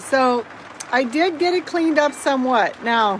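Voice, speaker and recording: Noticeable background noise runs beneath a woman's high-pitched voice as she speaks fairly slowly with lively intonation. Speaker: vlogger and realtor. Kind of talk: casual vlog tour. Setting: inside RV in heavy rain. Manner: loud.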